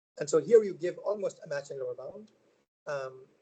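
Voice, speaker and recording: A man talks at a fairly quick pace. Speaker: researcher giving a seminar talk. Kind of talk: lecture. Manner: fast; halting, many fillers.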